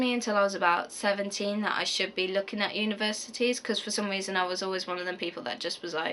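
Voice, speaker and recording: Talking very fast with hardly any pauses, a woman with a West Midlands accent speaks at medium pitch over noticeable background noise. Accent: Coventry English. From English Midlands, Coventry area. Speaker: university student vlogger. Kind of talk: casual Q&A vlog. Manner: hesitant, many fillers.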